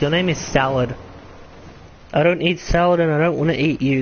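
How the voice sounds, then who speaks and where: Noticeable background noise accompanies a man speaking at a moderate pace with ordinary pitch variation. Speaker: gaming streamer. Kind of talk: live gameplay commentary.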